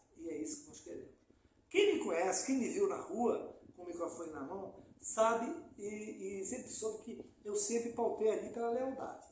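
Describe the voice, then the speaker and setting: Audible room echo surrounds a man speaking at a moderate pace in a high voice. His pitch swings very widely, and his loudness swings a lot too. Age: old. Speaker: community activist. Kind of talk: interview. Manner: halting.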